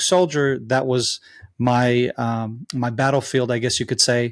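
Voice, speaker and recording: A man with an American accent and a medium pitch speaks at a moderate pace with fairly even intonation, in a very clean recording with a silent background. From Israel. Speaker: former soldier and advocate. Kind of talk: interview. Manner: halting, many fillers.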